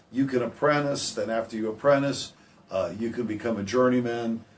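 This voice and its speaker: Audible room echo surrounds a man speaking at a medium pitch. He keeps a moderate pace with fairly even intonation. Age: 60s. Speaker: heating and air business owner. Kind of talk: radio interview. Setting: radio studio.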